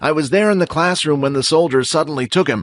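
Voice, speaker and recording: A put-on character voice from a man, fairly high in pitch, with a dry, close sound and no echo. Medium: audio drama. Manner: calm, measured.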